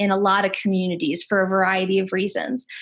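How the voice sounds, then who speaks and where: Somewhat breathy and medium in pitch, a woman speaks at a moderate pace. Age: 40s. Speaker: nurse and harm reduction speaker. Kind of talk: webinar Q&A answer. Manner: halting, many fillers.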